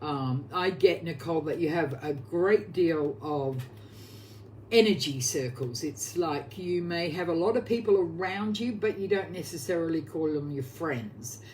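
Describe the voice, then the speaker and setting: The speaker has a strong Australian accent and a fairly slow pace. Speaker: oracle card reader. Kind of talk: live psychic card reading.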